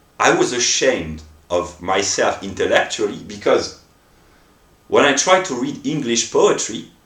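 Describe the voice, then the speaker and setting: There is audible room echo around a man's voice. He speaks at a fairly slow pace. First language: not English. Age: 30s. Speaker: philosophy vlogger. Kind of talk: improvised monologue. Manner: halting, stammering.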